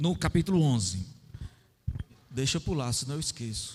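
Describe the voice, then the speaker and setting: A man's voice with very wide pitch swings. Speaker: lay preacher. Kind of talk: sermon. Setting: church with audience.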